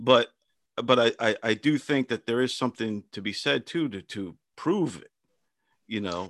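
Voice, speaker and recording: A man with an American accent, medium in pitch, at a moderate pace, with big swings in loudness and long, frequent pauses, on a very clean recording with a silent background. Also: lively intonation, dry, close sound with no echo. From Long Island, New York. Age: 40s. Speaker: podcast host. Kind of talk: casual chat. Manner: halting.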